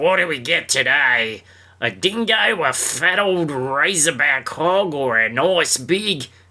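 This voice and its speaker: This man puts on a raspy character voice at fairly high pitch. He speaks at a fairly slow pace. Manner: menacing.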